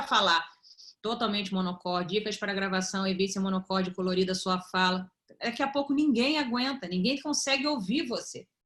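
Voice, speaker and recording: Her pitch swings very widely while a woman keeps to a moderate pace. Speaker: video presentation coach. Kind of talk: online class / tutorial.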